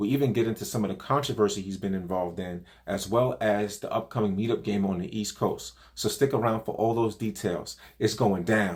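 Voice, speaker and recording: A man with a New York accent at a fairly quick pace, fairly low-pitched, with ordinary pitch variation. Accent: New York accent, fairly pronounced. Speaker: poker vlogger, co-host. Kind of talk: scripted intro; casual interview. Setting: video call.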